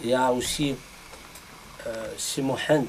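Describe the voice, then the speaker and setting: A man's medium-pitched voice with an Algerian accent, plus noticeable background noise. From Algeria, Kabylie. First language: Kabyle (speaking French). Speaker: poet. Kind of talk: round table discussion. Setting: bookshop with audience. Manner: halting.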